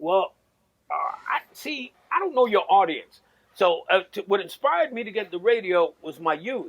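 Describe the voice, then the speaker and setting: With a New York accent, the speaker's pitch swings very widely. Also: man, high pitch for a man, moderate pace. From New York, South Bronx. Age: 50s. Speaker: navy veteran, former radio host. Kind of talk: casual chat.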